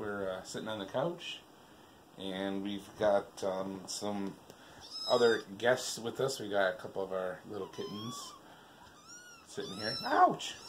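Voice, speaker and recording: Over noticeable background noise, a man with a fairly low voice and ordinary pitch variation talks at a fairly slow pace, leaving long, frequent pauses. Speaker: vlogger and show host. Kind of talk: casual chat. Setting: living room, on a couch. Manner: loud; hesitant, many fillers.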